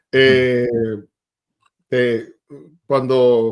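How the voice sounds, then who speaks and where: A man is speaking in a medium pitch. He has a Venezuelan accent. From Venezuela, Maracay. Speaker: tech sales executive. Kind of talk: interview.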